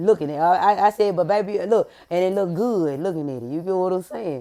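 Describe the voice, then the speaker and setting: Her voice animated and medium in pitch, a woman races along at a very fast pace. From US inner city. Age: young. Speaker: podcast host. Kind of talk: casual monologue.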